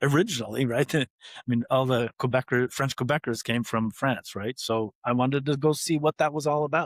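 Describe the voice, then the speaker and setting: Someone with an American accent talks at a fairly quick pace and with fairly even intonation, the sound dry and close with no echo in a very clean recording with a silent background. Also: man, medium pitch for a man. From upstate New York, US. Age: 60s. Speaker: biotech founder and scientist. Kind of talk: interview.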